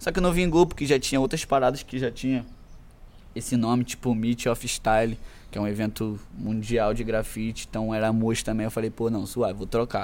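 Here a man talks at a fairly quick pace in an ordinary speaking voice with a medium pitch. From Brazil, Macaé (Rio de Janeiro state). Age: 20s. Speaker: rapper. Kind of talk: casual chat.

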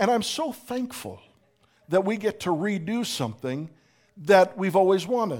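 With an American accent, a man with a high pitch talks at a moderate pace with lively intonation. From Pittsburgh, US. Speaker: pastor. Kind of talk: sermon. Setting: church.

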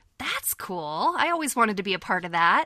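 With a Californian accent, a woman of medium pitch speaks in a bright, sharp tone, the sound dry and close with no echo on a very clean recording with a silent background. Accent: General American (Californian). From California, near Yosemite. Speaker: voice actress. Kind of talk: casual chat.

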